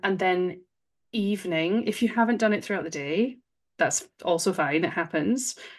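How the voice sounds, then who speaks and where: At a fairly slow pace and with ordinary pitch variation, someone speaks in a Scottish accent against a quiet background. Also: woman. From Scotland. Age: 30s. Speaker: breathwork facilitator. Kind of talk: interview.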